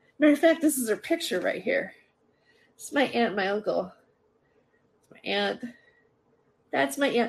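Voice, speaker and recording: A woman speaks at a moderate pace with very wide pitch swings, big swings in loudness, vocal fry, and long, frequent pauses. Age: 50s. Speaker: podcast host and stand-up comedian. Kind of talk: casual livestream chat. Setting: live stream on laptop. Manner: rambling with many fillers and restarts. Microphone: laptop.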